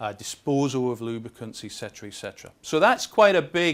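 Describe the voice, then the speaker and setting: A Scottish accent on a very clean recording with a silent background. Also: man. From Scotland. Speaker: industry chemist. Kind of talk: conference presentation. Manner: fast.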